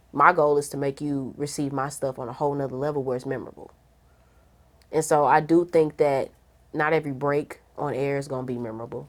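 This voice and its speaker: Speaking fairly quickly with a St. Louis accent, a woman has a very deep, low pitch. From St. Louis, Missouri. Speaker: radio host. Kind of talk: casual interview chat. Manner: animated.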